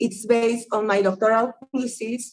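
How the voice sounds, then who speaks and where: The speech comes at a fairly slow pace in a strong Spanish accent. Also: woman. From Peru. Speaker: anthropologist. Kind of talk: academic seminar talk. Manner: partly reading from notes.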